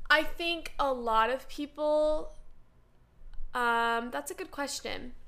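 Her voice raised and projected, a woman talks at a very slow pace with long, frequent pauses, her pitch high and her tone bright and sharp. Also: ordinary pitch variation. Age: 20s. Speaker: nursing student. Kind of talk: casual interview.

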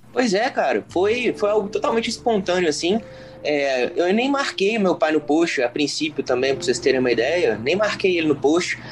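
A man with a high voice speaks at a moderate pace, his pitch swinging very widely while his loudness stays very even, over noticeable background noise. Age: 30s. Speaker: son of the main guest, LinkedIn user. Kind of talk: casual chat.

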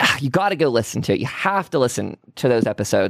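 A man with an American accent at medium pitch, moderate pace and lively intonation, with vocal fry, on a very clean, dry, close recording with no echo and a silent background. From Pennsylvania. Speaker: paranormal podcast host. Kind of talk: casual chat; sales pitch.

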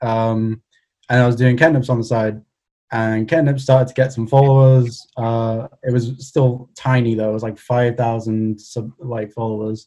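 In a Welsh accent, a man talks at medium pitch with a dark, mellow tone and a monotone, flat intonation. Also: moderate pace. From Wales, Cardiff. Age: 20s. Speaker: illustrator. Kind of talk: casual chat.

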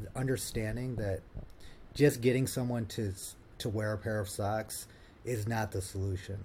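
Speaking with an American accent, a man has a dark, mellow, somewhat breathy tone, fairly low pitch and fairly even intonation. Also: very clean recording, silent background. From Ohio, US Midwest. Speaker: partnerships director, brand builder. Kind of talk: podcast interview. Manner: halting, many repetitions and fillers.

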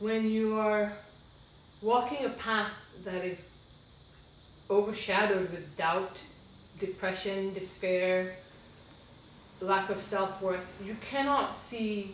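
Background noise is noticeable, with room echo audible as well. The speaker is a woman. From Sierra Leone, raised internationally. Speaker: podcast guest sharing faith journey. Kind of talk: testimony.

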